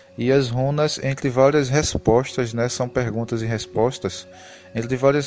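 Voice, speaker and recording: Fairly even intonation in a Pernambuco accent, with music in the background. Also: man. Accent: Pernambuco (northeastern Brazilian). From Brazil, Pernambuco. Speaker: spiritual YouTuber. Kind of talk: casual spiritual talk to camera. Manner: conversational, with hesitations.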